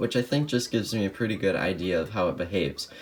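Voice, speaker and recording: Noticeable background noise sits behind a man whose pitch shows ordinary variation. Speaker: speedcuber. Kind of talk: casual talk to camera, product showcase.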